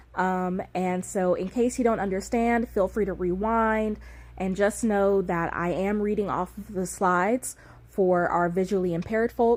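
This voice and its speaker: The clip carries an unremarkable speaking voice at a moderate pace. Its pitch varies in an ordinary way. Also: woman. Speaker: lecturer. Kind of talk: lecture. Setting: recorded video lecture with slides.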